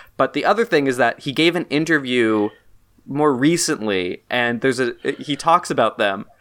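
This is an ordinary speaking voice at a moderate pace. The intonation is lively. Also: man, fairly high pitch for a man. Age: 20s. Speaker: podcast host. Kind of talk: casual chat. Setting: remote call recording.

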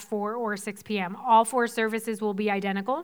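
The recording is very clean, with a silent background. A woman speaks at a fairly high pitch in a monotone, flat way. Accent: American. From Boston area, Massachusetts (South Shore). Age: 30s. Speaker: pastor. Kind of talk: sermon. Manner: casual, laughing.

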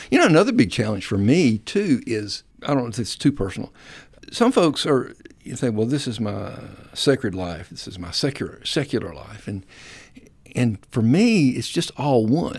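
Speaking in a Southern US accent at a moderate pace, a man with a medium pitch uses lively intonation and big swings in loudness. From US South (South Alabama, North Florida). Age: 60s. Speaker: singer-songwriter and church worship minister. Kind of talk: casual interview.

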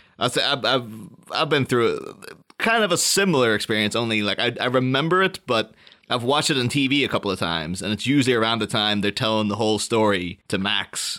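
This man has a medium pitch and a bright, sharp tone, with very even loudness. He talks at a fairly quick pace with lively intonation. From Britain. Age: 30s. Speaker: podcast host. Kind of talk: casual chat.

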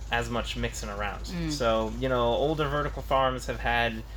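A man with an American accent talks at a moderate pace. Room echo is audible. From Tucson, Arizona, US. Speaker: engineering student. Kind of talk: interview. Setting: research vertical farm.

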